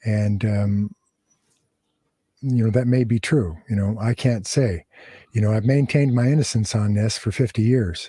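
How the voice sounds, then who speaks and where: With an American accent, a man speaks in a somewhat breathy, medium-pitched voice with a dark, mellow tone, at a moderate pace with ordinary pitch variation and long, frequent pauses, on a very clean recording with a silent background. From Southern California. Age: 70s. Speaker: former prison gang leader. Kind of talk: interview. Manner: halting.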